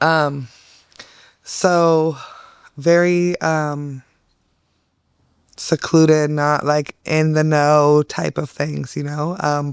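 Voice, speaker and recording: With a Californian accent, a woman talks at a very slow pace in a very deep, low pitch, her intonation monotone and flat and broken by long, frequent pauses, in a very clean recording with a silent background. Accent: General American (Californian). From Northern California (Turlock, near Bay Area). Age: 30s. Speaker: trafficking survivor, advocate. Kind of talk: testimony. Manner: hesitant, many fillers.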